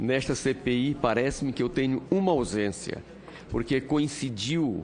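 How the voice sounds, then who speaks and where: With an ordinary speaking voice, a man talks at a fairly slow pace and with ordinary pitch variation. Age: 60s. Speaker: senator. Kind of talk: parliamentary speech. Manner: formal.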